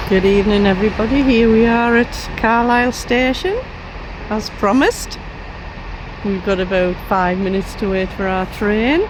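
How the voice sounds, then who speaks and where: A woman with a fairly high pitch and ordinary pitch variation speaks at a moderate pace, leaving long, frequent pauses. Audible room echo and noticeable background noise fill the recording. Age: 60s. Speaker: travel vlogger. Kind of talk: casual chat; vlog narration. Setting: at home; train station.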